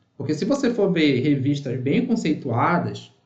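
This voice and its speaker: Somewhat breathy and fairly high-pitched, a man talks with lively intonation amid audible room echo. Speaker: university professor. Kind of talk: online workshop lecture. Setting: live online session with chat. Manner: fast.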